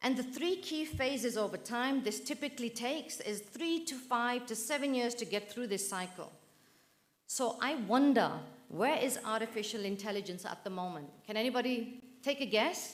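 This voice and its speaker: Audible room echo surrounds a woman's high-pitched voice. She speaks at a moderate pace with lively intonation. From northern England, Manchester. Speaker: professor. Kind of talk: conference keynote. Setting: auditorium with audience. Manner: animated.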